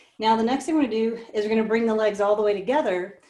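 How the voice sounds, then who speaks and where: The voice is a normal speaking voice with ordinary pitch variation. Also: woman. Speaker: pilates instructor. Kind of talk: live online fitness class instruction. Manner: encouraging, conversational.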